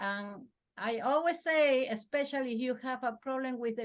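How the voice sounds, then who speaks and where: A woman speaks with ordinary pitch variation. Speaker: business owner. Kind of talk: staff meeting. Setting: video call. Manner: fast.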